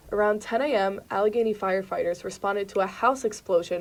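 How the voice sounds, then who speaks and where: A woman speaks in a plain, everyday voice. Her pace is fairly quick and her pitch varies in an ordinary way. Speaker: student TV reporter. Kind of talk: TV news report.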